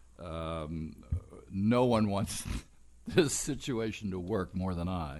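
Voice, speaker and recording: A man speaks at a very slow pace in a very deep, low voice, leaving long, frequent pauses. Audible room echo surrounds him. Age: 80s+. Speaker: town council member. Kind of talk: council meeting discussion. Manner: halting.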